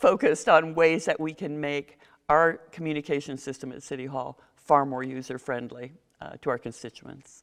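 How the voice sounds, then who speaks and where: A woman speaks with a very deep, low pitch and big swings in loudness. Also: ordinary pitch variation. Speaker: mayoral candidate. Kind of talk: candidate forum interview. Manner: fast.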